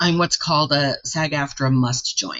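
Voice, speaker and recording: The speaker is a woman with a very deep, low pitch. She keeps a moderate pace and ordinary pitch variation. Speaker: singer. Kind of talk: interview answer.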